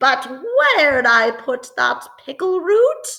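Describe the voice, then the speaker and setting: Using a put-on character voice, a woman talks at a very slow pace in a high pitch. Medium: read story.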